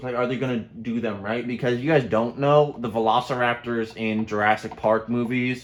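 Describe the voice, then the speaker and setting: A man's normal speaking voice at a fairly quick pace. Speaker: YouTuber reviewing movie trailers. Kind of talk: casual chat.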